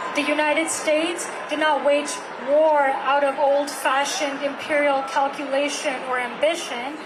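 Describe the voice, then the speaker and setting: A woman with a non-native accent speaks at a fairly slow pace with a high pitch and monotone, flat intonation. Noticeable background noise and audible room echo surround her voice. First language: not English. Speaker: climate activist. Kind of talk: speech at a rally. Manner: halting.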